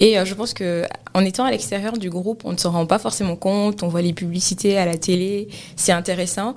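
Speaking at a fairly quick pace, a woman has a medium pitch, ordinary pitch variation and an unremarkable speaking voice. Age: 20s. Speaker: cloud engineer. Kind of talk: interview. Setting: studio.

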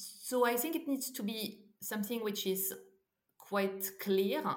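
The speaker has a French accent and a very slow pace. Pitch variation is ordinary. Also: woman. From France. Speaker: startup co-founder and CEO. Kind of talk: interview. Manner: halting, many fillers.

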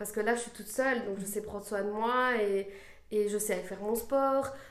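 A woman talks at a fairly slow pace and fairly high pitch, with noticeable background noise and audible room echo. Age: 20s. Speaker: after-school childcare worker. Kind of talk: testimony. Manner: halting, many hesitations.

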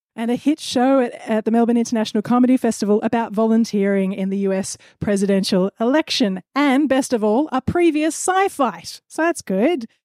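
Lively intonation and a dark, mellow tone in an Australian accent at a moderate pace, with a dry, close sound, no echo, and a very clean recording with a silent background. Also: woman. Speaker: comedy debate host and adjudicator.

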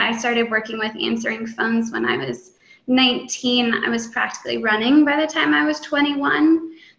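A woman with a fairly high pitch speaks at a moderate pace. Hers is an unremarkable speaking voice. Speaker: real estate developer. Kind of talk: interview.

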